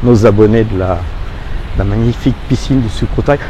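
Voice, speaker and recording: The speaker's pitch varies in an ordinary way. There is noticeable background noise. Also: man. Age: 60s. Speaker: expat interviewee, youtuber. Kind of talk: casual interview. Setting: outdoors by hotel pool. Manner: hesitant, many fillers.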